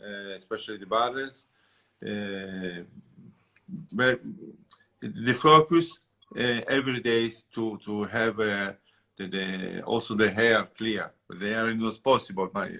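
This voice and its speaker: In an Italian accent, a man of medium pitch speaks at a fairly slow pace with a bright, sharp tone, ordinary pitch variation, big swings in loudness and long, frequent pauses. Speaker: winemaker. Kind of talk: interview. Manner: halting.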